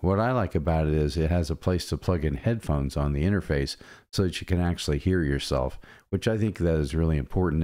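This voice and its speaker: A man speaks with a very deep, low pitch and a dark, mellow tone. His pace is fairly quick. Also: quiet background. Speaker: gear reviewer. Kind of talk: casual product review. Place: home room. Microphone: studio mic.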